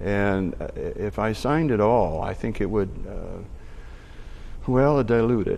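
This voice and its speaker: Over audible room echo, a man with a medium pitch and a dark, mellow tone speaks at a fairly slow pace with ordinary pitch variation and long, frequent pauses. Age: 60s. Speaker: artist. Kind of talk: interview. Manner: halting.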